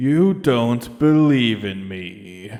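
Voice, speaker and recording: A man puts on a character voice at a medium pitch. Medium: read story. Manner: slow, solemn, terse.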